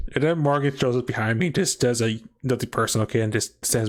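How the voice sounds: What we hear is a natural reading voice.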